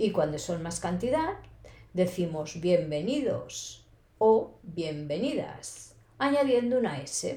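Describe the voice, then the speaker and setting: A woman with a Castilian accent speaks at a very slow pace in a somewhat breathy, dark, mellow tone. Her pitch swings very widely, with audible room echo around her. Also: medium pitch for a woman. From Spain. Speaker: Spanish teacher. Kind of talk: language lesson podcast. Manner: slow, clear.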